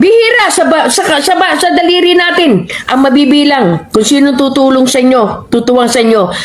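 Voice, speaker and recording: At a high pitch, a woman talks in an animated tone with very wide pitch swings, very even loudness, a moderate pace and hardly any pauses, over noticeable background noise and audible room echo. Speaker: overseas Filipino worker. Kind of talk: commentary.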